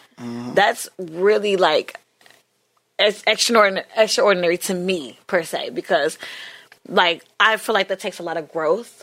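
With vocal fry, a woman speaks in an animated tone with lively intonation. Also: medium pitch for a woman, moderate pace. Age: 20s. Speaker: podcast host. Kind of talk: casual chat.

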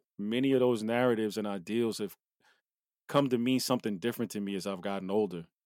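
With an American accent and a plain, everyday voice, a man of medium pitch talks at a fairly quick pace with fairly even intonation in a very clean recording over a silent background. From US Northeast (New Jersey). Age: 40s. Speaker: podcast co-host. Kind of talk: casual chat.

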